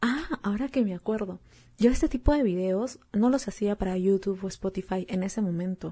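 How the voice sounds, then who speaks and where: Against a quiet background, a woman speaks at a moderate pace, somewhat breathy, with a dark, mellow tone. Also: medium pitch for a woman, ordinary pitch variation. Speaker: podcast host. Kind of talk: solo podcast talk.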